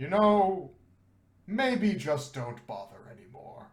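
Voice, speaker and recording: A man's put-on character voice, high-pitched and deadpan, fairly slow with very wide pitch swings and audible echo. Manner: grand, deadpan dismissive.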